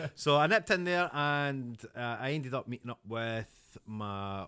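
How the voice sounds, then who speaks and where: Bright and sharp in tone, a man with a Scottish accent speaks fairly slowly with lively intonation in a very clean recording with a silent background. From Scotland, North Ayrshire (Kilwinning). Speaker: podcast guest, actor and business owner. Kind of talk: interview, personal story. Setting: at his home.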